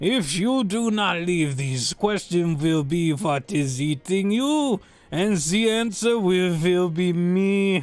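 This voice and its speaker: A man speaks in a put-on character voice pitched high, at a fairly slow pace with hardly any pauses. Faint music plays in the background. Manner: menacing.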